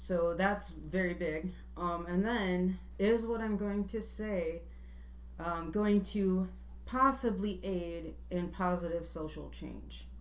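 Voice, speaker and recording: A woman speaks very slowly, with audible room echo and noticeable background noise around her. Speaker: vlogger and would-be presidential candidate. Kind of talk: casual chat.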